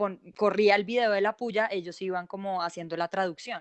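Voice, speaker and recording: Here is a woman with an ordinary speaking voice. She keeps a moderate pace and ordinary pitch variation. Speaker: journalist. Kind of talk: online panel discussion.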